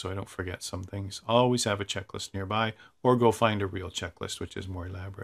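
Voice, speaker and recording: Over a quiet background, a man with a Canadian accent talks at a fairly quick pace and a fairly low pitch. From Canada, Toronto. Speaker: flight simulator instructor. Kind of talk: tutorial. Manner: casual, enthusiastic.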